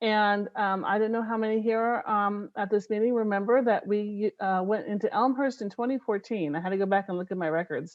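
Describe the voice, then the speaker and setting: A woman talks at a fairly quick pace with hardly any pauses and fairly even intonation. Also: medium pitch for a woman. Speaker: city recycling program presenter. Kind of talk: community meeting presentation. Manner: hesitant, many filler words.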